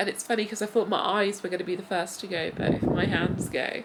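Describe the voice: Putting on a hoarse character voice, a woman talks at a very fast pace and medium pitch over light background noise.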